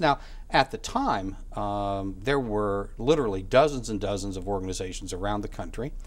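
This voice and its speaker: A man speaks at a moderate pace in a fairly low pitch, with ordinary pitch variation. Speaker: author and academic. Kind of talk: interview. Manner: halting, many fillers.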